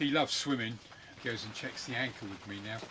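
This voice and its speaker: Speaking with an English accent, a man has a fairly low pitch and ordinary pitch variation. Noticeable background noise is present. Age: 50s. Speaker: sailing vlogger. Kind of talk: casual chat.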